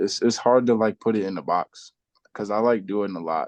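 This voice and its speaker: A man with a New York accent speaks in a fairly low voice. The sound is dry and close, with no echo. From Brooklyn, New York (Bed-Stuy). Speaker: rapper. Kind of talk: casual chat.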